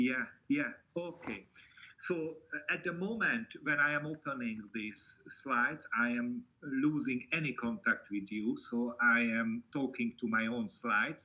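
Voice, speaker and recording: A man with a Hungarian accent speaks at medium pitch. He goes at a fairly slow pace with ordinary pitch variation. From Hungary. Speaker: university lecturer. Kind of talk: online seminar presentation.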